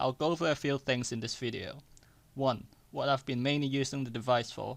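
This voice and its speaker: At a fairly quick pace, a man talks at medium pitch with fairly even intonation. The recording is very clean, with a silent background and a dry, close sound free of echo. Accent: non-native. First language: not English. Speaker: tech YouTuber. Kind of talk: product review. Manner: scripted.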